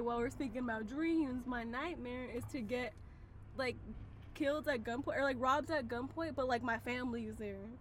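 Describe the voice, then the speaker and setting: A woman speaks at a moderate pace. Her voice is high-pitched. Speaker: podcast co-host. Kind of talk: casual chat. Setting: in a car. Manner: animated.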